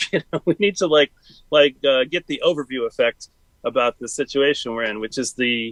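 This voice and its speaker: Recorded with a dry, close sound and no echo, a man talks at a moderate pace in a fairly high pitch with ordinary pitch variation. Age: 50s. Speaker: talk show guest. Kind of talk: casual chat. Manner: halting.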